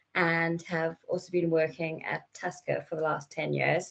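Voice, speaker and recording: Speaking at a fairly slow pace, a woman has a fairly low pitch and a South African accent. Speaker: company product manager. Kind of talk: presentation. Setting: virtual session.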